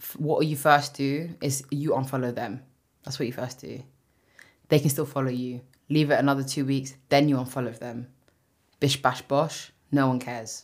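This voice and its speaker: With a London accent, a woman speaks at a moderate pace in a very deep, low pitch. She leaves long, frequent pauses. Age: 20s. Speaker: podcast co-host. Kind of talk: casual chat. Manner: animated.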